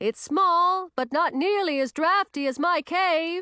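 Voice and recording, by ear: Shouting in a put-on character voice, a woman hits an extremely high pitch with a bright, sharp tone and ordinary pitch variation. She goes at a fairly slow pace, recorded dry and close with no echo.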